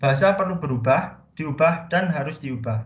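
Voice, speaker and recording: A man with a fairly high pitch talks at a moderate pace, his pitch variation ordinary. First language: Javanese (speaking Indonesian). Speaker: student presenter. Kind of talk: class presentation.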